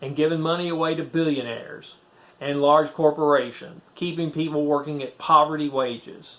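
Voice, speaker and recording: A Southern US accent at a moderate pace. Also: man. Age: 60s. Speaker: former preacher, YouTuber. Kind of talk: casual talk to camera.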